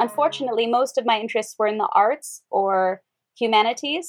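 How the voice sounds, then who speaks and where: Against a quiet background, a woman with an American accent speaks at a moderate pace in a fairly high pitch. She has a plain, everyday voice, with ordinary pitch variation. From Wyoming, rural US. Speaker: yoga teacher, former military linguist. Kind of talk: casual interview chat.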